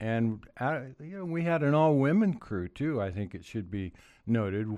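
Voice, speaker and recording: A man with a Pacific Northwest accent and a dark, mellow tone, fairly slow, with very wide pitch swings, on a very clean recording against a silent background. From Oregon, US Pacific Northwest. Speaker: former county commissioner and politician. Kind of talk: interview.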